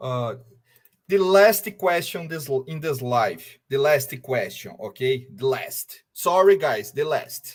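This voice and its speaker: A somewhat breathy voice in a Brazilian Portuguese accent at a very slow pace with lively intonation. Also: man, fairly high pitch for a man. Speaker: fan channel host. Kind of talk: live stream interview.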